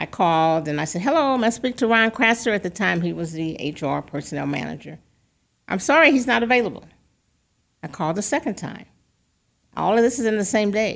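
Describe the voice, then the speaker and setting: Vocal fry and very wide pitch swings at a fairly quick pace, broken by long, frequent pauses, on a very clean recording with a silent background. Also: woman, medium pitch for a woman. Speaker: community leader guest. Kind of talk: radio interview. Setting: studio.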